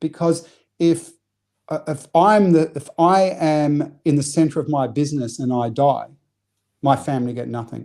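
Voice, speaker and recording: A man with a slight New Zealand accent has a dark, mellow tone and a fairly high pitch. His pitch variation is ordinary, on a very clean recording with a silent background. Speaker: business coach. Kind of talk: podcast interview. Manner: animated, repetitive false starts.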